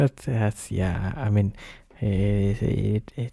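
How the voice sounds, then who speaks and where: Whispering, a man sounds somewhat breathy. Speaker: streamer. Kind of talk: casual chat. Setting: live stream. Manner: halting, repetitive. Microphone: new microphone.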